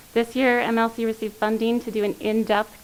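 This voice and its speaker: A woman with a fairly high pitch keeps a moderate pace while noticeable background noise plays behind her. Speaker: land trust representative. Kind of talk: public meeting presentation. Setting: county commissioners meeting, livestreamed.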